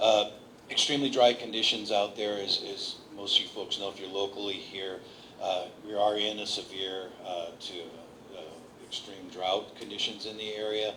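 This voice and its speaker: A man's monotone, flat intonation at a fairly low pitch, moderate pace and big swings in loudness, with noticeable background noise. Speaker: fire behavior analyst. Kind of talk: briefing. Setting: community meeting with audience.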